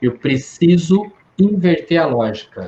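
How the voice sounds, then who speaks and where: A man is speaking here. His voice sounds somewhat breathy. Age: 60s. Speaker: psychologist. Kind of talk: Q&A talk with students.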